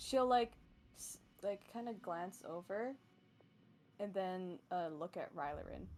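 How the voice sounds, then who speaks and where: A very slow pace with long, frequent pauses and big swings in loudness. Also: woman. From immigrant, grew up partly abroad. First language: not English. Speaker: tabletop role-playing player. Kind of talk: casual tabletop game play.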